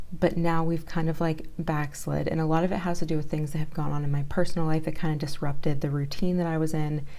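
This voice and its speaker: A soft-spoken woman talks at a fairly quick pace. Her very deep, low voice has a dark, mellow tone and stays monotone and flat. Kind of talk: casual talk to camera.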